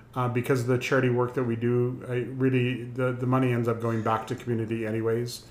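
A man talks at a very fast pace and medium pitch in a flat monotone. Noticeable background noise runs behind him. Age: 60s. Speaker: community group board member. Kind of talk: casual chat, interview.

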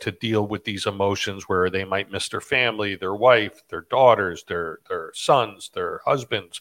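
At a moderate pace, a man talks in an ordinary speaking voice with ordinary pitch variation, recorded very cleanly against a silent background. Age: 40s. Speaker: podcast host. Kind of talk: interview.

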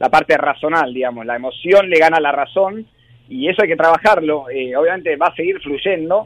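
Recorded with a dry, close sound and no echo, a man with a plain, everyday voice speaks at a fairly quick pace and fairly high pitch, using ordinary pitch variation. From Argentina. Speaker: rugby sevens coach. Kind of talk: interview.

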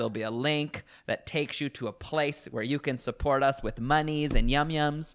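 In a very clean recording with a silent background, a man speaks fairly slowly at a fairly high pitch. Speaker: podcast host. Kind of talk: casual chat. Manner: animated.

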